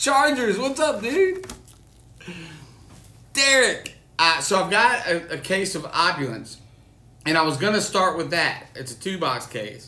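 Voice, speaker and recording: A man at a moderate pace, with audible room echo. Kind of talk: casual live-stream chat. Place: home room. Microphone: phone near.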